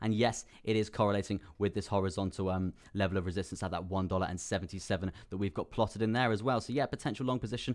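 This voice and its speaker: A man with a British accent speaks very fast in an animated tone, with fairly low pitch and ordinary pitch variation. The recording is very clean, with a silent background. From UK. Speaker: crypto trading streamer. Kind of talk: live stream chart analysis.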